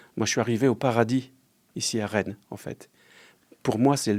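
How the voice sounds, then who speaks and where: This man talks at a moderate pace with a medium pitch, a dark, mellow tone and fairly even intonation. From Lorraine, eastern France. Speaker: restaurant franchise owner, entrepreneur. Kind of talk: interview.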